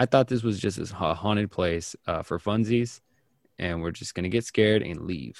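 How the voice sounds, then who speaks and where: The recording is very clean with a silent background and a dry, close sound with no echo. A man with an unremarkable speaking voice talks at a moderate pace and a fairly low pitch, with ordinary pitch variation. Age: 30s. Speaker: podcast host. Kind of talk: casual chat; reading aloud.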